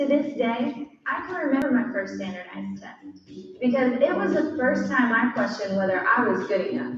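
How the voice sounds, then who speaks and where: A woman with a high pitch and lively intonation at a moderate pace, with big swings in loudness, audible room echo and noticeable background noise. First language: Spanish. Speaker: nursing graduate giving a speech. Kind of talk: prepared speech.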